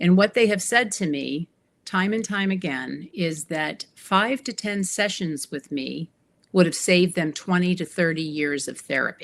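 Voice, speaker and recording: At a moderate pace, a woman speaks in a fairly low voice with vocal fry. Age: 60s. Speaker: empowerment coach. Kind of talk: interview.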